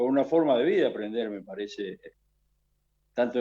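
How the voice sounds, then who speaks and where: Talking at a fairly quick pace, a man with a Rioplatense accent uses a medium pitch with ordinary pitch variation. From Argentina, Buenos Aires area. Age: 60s. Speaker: guitarist. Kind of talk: radio interview.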